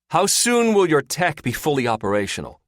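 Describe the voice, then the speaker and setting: Booming in a put-on character voice, a man goes at a fairly quick pace, his fairly high pitch swinging very widely. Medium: read story.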